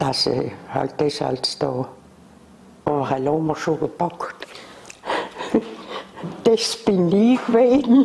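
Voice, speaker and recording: A woman with a very deep, low pitch talks at a very slow pace, her pitch swinging very widely, with long, frequent pauses and light background noise. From South Tyrol, Italy. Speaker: former factory worker. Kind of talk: oral history interview answer. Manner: hesitant, rambling. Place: home room. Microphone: lapel.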